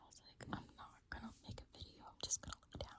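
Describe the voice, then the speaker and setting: At a fairly quick pace, a woman speaks in a whisper. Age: 20s. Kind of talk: casual talk to camera. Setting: close to the mic at home, no mic equipment. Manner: whispered.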